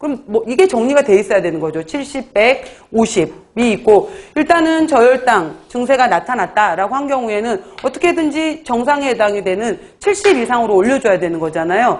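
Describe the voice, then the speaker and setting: High-pitched female speech with pitch that swings very widely. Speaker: exam prep lecturer. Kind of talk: lecture. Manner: fast.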